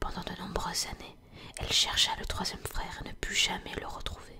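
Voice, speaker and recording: Someone whispers at a fairly slow pace. Noticeable noise is present in the background. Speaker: ASMR content creator. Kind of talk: whispered ASMR reading of a fairy tale. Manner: whispered.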